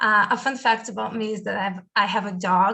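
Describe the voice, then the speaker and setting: Speaking with a Brazilian accent, the voice sounds bright and sharp with ordinary pitch variation. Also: woman. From Brazil, big city. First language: Portuguese. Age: 20s. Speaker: university student. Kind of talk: presentation in online session. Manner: hesitant, many fillers.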